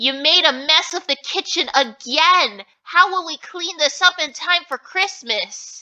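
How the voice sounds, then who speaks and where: A woman uses a put-on character voice at an extremely high pitch. She speaks at a fairly slow pace with hardly any pauses. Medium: read story.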